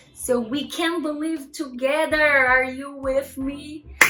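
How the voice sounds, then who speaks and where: A woman speaks in a high pitch at a very slow pace. Audible room echo and music in the background surround her voice. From Brazil. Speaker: YouTuber. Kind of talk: motivational vlog talk. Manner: unscripted, self-correcting.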